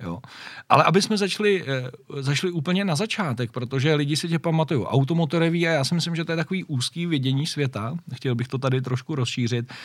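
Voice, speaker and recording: At a very fast pace, a man talks at a fairly high pitch with ordinary pitch variation. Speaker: motoring podcast host. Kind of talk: casual interview.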